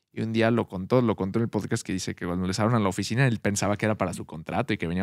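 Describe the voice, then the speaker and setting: Against a quiet background, a man with a fairly low pitch and ordinary pitch variation speaks at a very fast pace, the sound dry with no echo. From Mexico City. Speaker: podcast host; podcast co-host. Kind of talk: casual chat. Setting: at a home. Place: studio. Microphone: studio mic.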